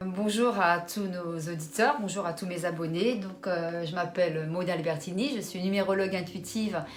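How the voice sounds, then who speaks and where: At a moderate pace, a woman with a medium pitch and ordinary pitch variation speaks amid noticeable background noise and audible room echo. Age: 60s. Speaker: numerologist. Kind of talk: interview.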